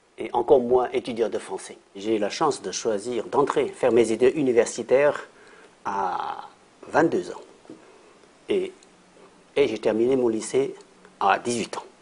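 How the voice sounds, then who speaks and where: A man talks at a fairly slow pace with long, frequent pauses. Noticeable background noise sits behind him. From China, Shanghai. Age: 60s. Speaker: university professor and interpreter. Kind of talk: interview. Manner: halting, with repetitions.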